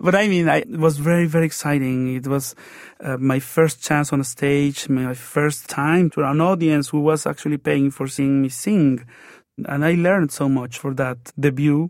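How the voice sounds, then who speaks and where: This man has a fairly high pitch and a Mexican accent, with ordinary pitch variation. He keeps a moderate pace on a very clean recording with a silent background. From Mexico. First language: Spanish. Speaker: opera tenor. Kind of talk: interview. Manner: halting, with repeated fillers.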